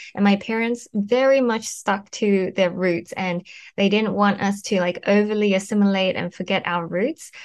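Speaking at a moderate pace with an Australian accent, a woman keeps a medium pitch and fairly even intonation. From Australia (Brisbane), born in Taiwan. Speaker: content creator, influencer coach. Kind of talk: interview.

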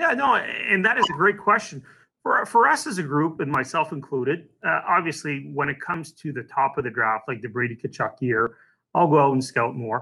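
Speaking at a moderate pace, a man uses lively intonation in a plain, everyday voice. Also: fairly high pitch for a man. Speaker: hockey team executive. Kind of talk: casual interview.

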